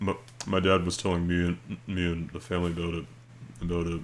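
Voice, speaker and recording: A man speaks quietly. His pitch is very deep and low. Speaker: video creator. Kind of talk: casual storytelling and reading aloud. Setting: at home late at night. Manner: speaking quietly; halting, many fillers and repeats.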